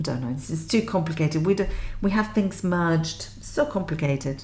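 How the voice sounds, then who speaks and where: A woman's vocal fry at a fairly slow pace. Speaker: music theory teacher. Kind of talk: tutorial.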